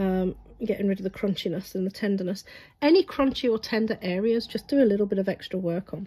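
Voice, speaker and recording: Talking at a very fast pace, a somewhat breathy woman keeps a medium pitch with ordinary pitch variation. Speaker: reflexologist. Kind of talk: tutorial.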